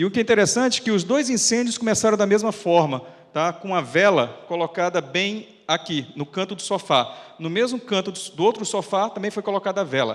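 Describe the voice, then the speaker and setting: The speech runs at a fairly quick pace with lively intonation and hardly any pauses. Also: man, high pitch for a man. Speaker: fire safety researcher and firefighter officer. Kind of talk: lecture. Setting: auditorium with audience. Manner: fast.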